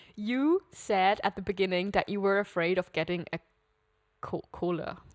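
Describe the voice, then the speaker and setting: Lively intonation carries this Swiss German accent at a moderate pace, heard in a dry, close sound with no echo on a very clean recording against a silent background. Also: woman. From Switzerland, village. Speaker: podcast co-host. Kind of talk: casual chat.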